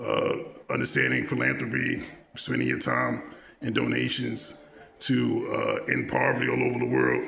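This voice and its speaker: A man's voice at very even loudness, with audible room echo and noticeable background noise. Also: moderate pace. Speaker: vlogger. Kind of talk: monologue. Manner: halting, many filler words.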